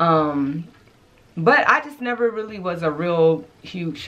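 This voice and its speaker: Animated in tone, a woman speaks at a fairly low pitch with ordinary pitch variation. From Arkansas. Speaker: fashion YouTuber. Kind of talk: casual vlog. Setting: home closet. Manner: loud. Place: home room.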